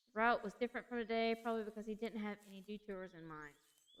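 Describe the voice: The speaker gives a plain reading aloud with fairly even intonation.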